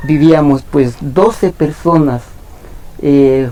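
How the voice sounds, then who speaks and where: Over noticeable background noise, a man with a fairly high pitch speaks at a very slow pace with fairly even intonation. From Ecuador, Imbabura highlands (San Antonio de Ibarra). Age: 60s. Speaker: ice cream vendor. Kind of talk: interview. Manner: hesitant, many fillers.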